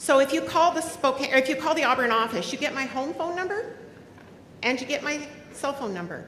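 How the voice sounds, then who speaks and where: A loud woman talks at a fairly quick pace in a high pitch, her tone animated and her intonation lively, with audible room echo and noticeable background noise. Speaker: union president. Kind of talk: convention speech. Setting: stage with audience.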